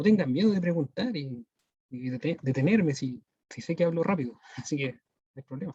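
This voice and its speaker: A man with a fairly high pitch and a dark, mellow tone speaks at a fairly quick pace with lively intonation. His voice is somewhat breathy, with big swings in loudness, in a dry, close sound with no echo. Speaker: math teacher. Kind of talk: online lecture. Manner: fast.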